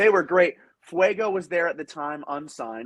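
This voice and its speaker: A man speaks loud and at a moderate pace, his tone animated and intonation lively. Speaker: professional wrestler. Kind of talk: interview.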